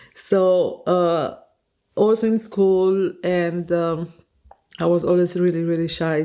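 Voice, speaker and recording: A woman's dark, mellow, medium-pitched voice with a non-native accent, very slow, against a quiet background. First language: Romanian. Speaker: fashion designer and vlogger. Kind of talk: casual vlog monologue. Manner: hesitant, many fillers.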